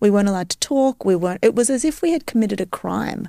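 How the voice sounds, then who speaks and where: On a very clean recording with a silent background and a dry, close sound with no echo, a woman speaks in an Australian accent with a dark, mellow tone. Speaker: neuroscientist. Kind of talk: casual interview.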